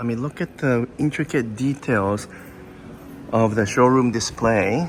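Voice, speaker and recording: Over noticeable background noise, a man talks at a fairly slow pace. His pitch is medium, with ordinary variation. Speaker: automotive reviewer and vlogger. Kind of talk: walkthrough vlog. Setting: indoors in a store. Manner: enthusiastic.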